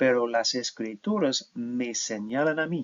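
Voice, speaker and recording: With an English accent, a man speaks at medium pitch and a very slow pace. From United States. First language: English (speaking Spanish). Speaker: professor. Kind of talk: lecture. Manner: halting, with fillers and self-corrections.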